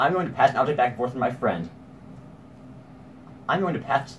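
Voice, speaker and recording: Over light background noise, a man with an American accent talks with lively intonation. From Portland, Oregon. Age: young. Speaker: comedy YouTuber. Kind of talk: comedy skit bloopers. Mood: playful, flubbing lines. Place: home room. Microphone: camera far.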